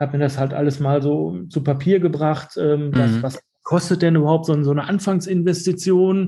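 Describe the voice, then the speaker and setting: At a moderate pace, the somewhat breathy voice carries a dark, mellow tone and fairly even intonation. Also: man. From Germany, Dortmund (Ruhr area). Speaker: shop owner. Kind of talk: interview. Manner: halting, many fillers and repetitions.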